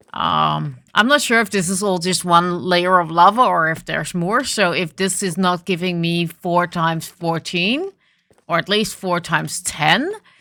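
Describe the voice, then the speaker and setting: This voice has a bright, sharp tone and a Dutch accent, moving at a fairly slow pace with ordinary pitch variation. The recording is very clean, with a silent background. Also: woman, fairly low pitch for a woman. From Netherlands. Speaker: gaming video creator. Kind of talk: gameplay commentary. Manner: hesitant with fillers.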